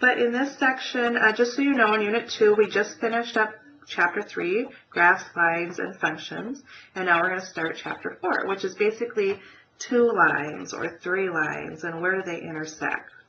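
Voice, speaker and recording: With noticeable background noise around her, a woman talks moderately fast at a medium pitch, her pitch varying in an ordinary way. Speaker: math teacher. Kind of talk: recorded lecture. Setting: pre-recorded web class.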